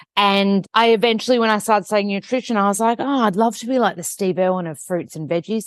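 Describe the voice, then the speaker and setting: A woman with a strong Australian accent, medium in pitch, talking at a very fast pace. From Australia (Melbourne). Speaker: nutritionist, TV host and author. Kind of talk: podcast interview.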